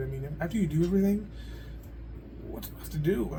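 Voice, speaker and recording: A man talks at a very fast pace, with audible echo in the room. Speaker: video blogger. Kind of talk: casual monologue. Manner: loud.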